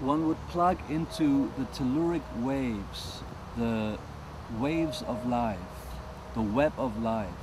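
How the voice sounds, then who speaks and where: Over noticeable background noise, a man with a German accent and a medium pitch speaks at a very slow pace with long, frequent pauses and ordinary pitch variation. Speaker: world music artist. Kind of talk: interview.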